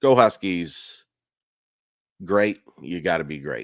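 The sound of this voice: Raspy and slow, the voice carries lively intonation. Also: man, low pitch for a man, very clean recording, silent background.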